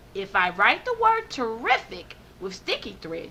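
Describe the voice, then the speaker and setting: Moderate pace and fairly high pitch in a woman's put-on character voice. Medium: read story. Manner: brisk, self-encouraging.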